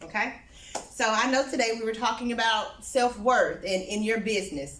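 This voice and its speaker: A woman speaks loudly at a moderate pace with a fairly high pitch, an animated tone and lively intonation. Noticeable background noise and audible room echo surround her. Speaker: therapist and speaker. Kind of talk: talk at a small networking event. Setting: small in-person event with audience.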